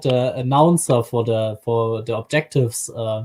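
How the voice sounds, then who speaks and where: A man speaks with a slight German accent and ordinary pitch variation. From Germany. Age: 20s. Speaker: YouTube creator, stream guest. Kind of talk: casual chat.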